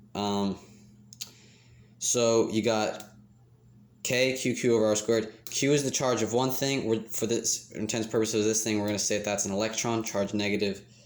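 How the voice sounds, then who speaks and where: A man with fairly low pitch and monotone, flat intonation, at a moderate pace with long, frequent pauses, in audible room echo. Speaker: student explaining chemistry. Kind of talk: tutorial. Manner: halting with fillers.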